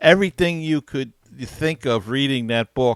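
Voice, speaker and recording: This man has an unremarkable speaking voice, fairly high in pitch, and talks at a fairly slow pace. The sound is dry and close with no echo, a very clean recording against a silent background. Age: 60s. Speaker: radio host. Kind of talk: casual chat.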